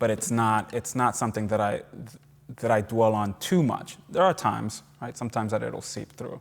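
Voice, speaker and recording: A man with a Puerto Rican accent at a moderate pace. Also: medium pitch for a man, ordinary pitch variation. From Puerto Rico. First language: Spanish. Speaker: novelist and professor. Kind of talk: lecture Q&A answer. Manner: halting, many repetitions.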